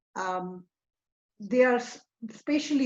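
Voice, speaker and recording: Speaking with a Tamil accent, a woman uses a fairly high pitch and very wide pitch swings. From India, Tamil Nadu. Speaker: ecologist. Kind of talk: lecture. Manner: hesitant, many fillers.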